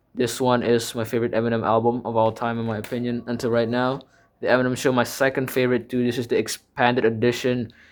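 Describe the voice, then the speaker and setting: A man with an Indonesian accent talks at a very fast pace in a medium pitch, his intonation monotone and flat. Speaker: music YouTuber. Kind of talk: casual collection show-and-tell. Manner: halting, many fillers and self-corrections.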